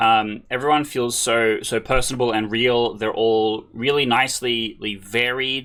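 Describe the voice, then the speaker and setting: At a fairly slow pace, the speaker has a bright, sharp tone, ordinary pitch variation, and an Australian accent. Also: man, very clean recording, silent background. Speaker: podcast co-host. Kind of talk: casual interview chat.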